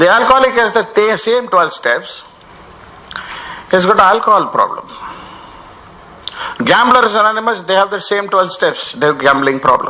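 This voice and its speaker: A man with an Indian accent uses a raised, projected voice at a high pitch with ordinary pitch variation, leaving long, frequent pauses. There is noticeable background noise. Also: moderate pace. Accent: Indian accent in his speech. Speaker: recovery program speaker. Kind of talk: workshop talk. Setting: workshop with audience. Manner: mixes Hindi and English, halting with fillers.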